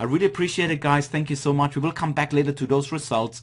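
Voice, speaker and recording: Against a quiet background, a man speaks in an Austrian accent. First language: German. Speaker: online marketing coach. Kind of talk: webinar presentation.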